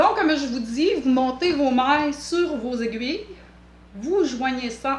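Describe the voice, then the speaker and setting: Audible room echo surrounds a woman with a strong Quebec accent and a high pitch. Her intonation is lively and her pace fairly slow. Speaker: knitting vlogger. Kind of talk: tutorial. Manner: hesitant, many filler sounds.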